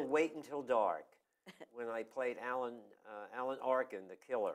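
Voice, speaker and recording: A plain, everyday voice speaks at a fairly slow pace, with ordinary pitch variation and big swings in loudness. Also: man, medium pitch for a man. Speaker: town crier and local historian, former community theater actor. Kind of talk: interview answer.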